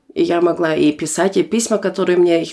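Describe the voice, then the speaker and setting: A woman with vocal fry talks at a moderate pace, her fairly low voice carrying a dark, mellow tone. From Germany, born in Almaty, Kazakhstan. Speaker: guest. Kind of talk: casual chat.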